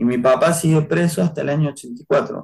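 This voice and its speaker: A man speaks at a fairly slow pace, sounding somewhat breathy. His pitch variation is ordinary. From Argentina, Córdoba. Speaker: human rights activist. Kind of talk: interview testimony.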